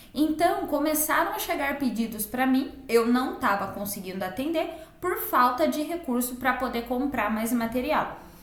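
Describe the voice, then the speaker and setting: A woman with a high pitch and lively intonation talks at a moderate pace with hardly any pauses, amid audible room echo and noticeable background noise. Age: 20s. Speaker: online entrepreneur, digital invitation designer. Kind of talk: personal vlog tutorial.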